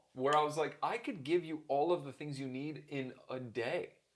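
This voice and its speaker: A man's fairly high voice with a slight Canadian accent at a moderate pace. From Canada, Toronto. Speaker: keynote speaker and author. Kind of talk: interview conversation.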